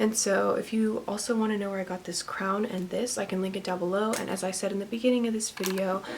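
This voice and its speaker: A woman speaks at a very fast pace in a medium pitch. Her intonation is monotone and flat, with noticeable background noise behind her. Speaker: makeup YouTuber. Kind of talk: tutorial. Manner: casual, filler-heavy.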